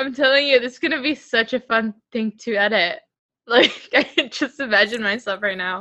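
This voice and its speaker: The woman's tone comes across bright and sharp. She talks at a moderate pace. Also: fairly high pitch for a woman, ordinary pitch variation. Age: 18. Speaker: student podcast co-host. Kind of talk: casual chat. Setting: home recording.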